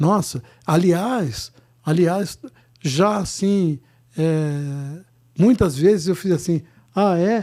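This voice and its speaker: A man's high-pitched, dark and mellow voice at a very slow pace, with long, frequent pauses and ordinary pitch variation. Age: 70s. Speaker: singer-songwriter and musician. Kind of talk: casual interview chat.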